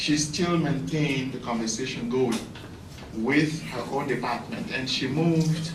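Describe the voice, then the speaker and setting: Over noticeable background noise and audible room echo, a man with a fairly high voice speaks at a fairly slow pace with ordinary pitch variation. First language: an African language. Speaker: professor. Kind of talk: conference speech. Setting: conference. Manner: halting.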